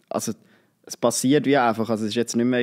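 A man talks in a monotone, flat way at medium pitch against a quiet background. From Switzerland, Nidwalden; Switzerland. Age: 20s. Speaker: student and social media creator; social media creator. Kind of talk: casual interview. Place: studio. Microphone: studio mic.

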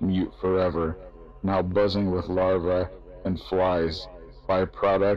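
Over background music, a man speaks very slowly in a very deep, low voice. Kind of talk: spoken word reading of metal song lyrics.

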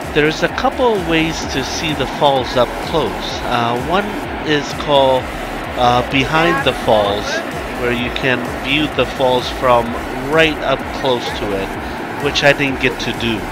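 A man talks at a fairly slow pace with long, frequent pauses and ordinary pitch variation. Music plays in the background, and the sound is dry with no echo. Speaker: travel vlogger. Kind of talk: casual vlog narration. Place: open country. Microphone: phone near.

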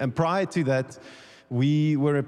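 A man at a moderate pace, ordinary pitch variation, quiet background. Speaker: speaker. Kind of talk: sermon. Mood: warm, relaxed. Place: church. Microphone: handheld.

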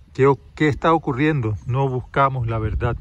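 A man speaks at a fairly slow pace with fairly even intonation, somewhat breathy, in a dry sound with no echo. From Panama. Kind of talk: testimonial story told to camera, reflective, ending in a blessing and a moral. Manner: calm, unhurried, warm storyteller's delivery; indignant and dramatic in the story, then gentle and moralizing. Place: garden. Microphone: phone near.

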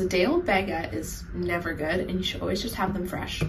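Noticeable background noise runs through the clip. Over it, a woman talks. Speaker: student vlogger. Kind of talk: casual vlog chat. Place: kitchen. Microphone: phone near.

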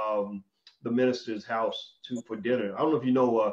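A man speaks at a moderate pace with fairly even intonation against a quiet background. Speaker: interview host. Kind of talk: interview host talk. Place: home room. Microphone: video call.

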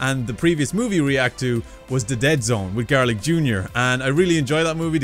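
Over faint music in the background, a man talks at a very fast pace. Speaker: reaction video host. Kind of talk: casual vlog chat. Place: home room.

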